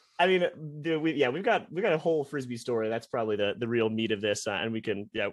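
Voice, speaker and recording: A man with a Midwestern US accent, very fast, at medium pitch, with lively intonation. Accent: General American, Midwestern. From US Midwest, Columbus, Ohio. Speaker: semi-pro ultimate frisbee player. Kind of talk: podcast interview. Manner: talkative.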